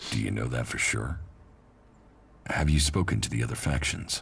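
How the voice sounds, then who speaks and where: A man does a put-on character voice at a moderate pace, his pitch very deep and low. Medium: video game. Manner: terse, flat.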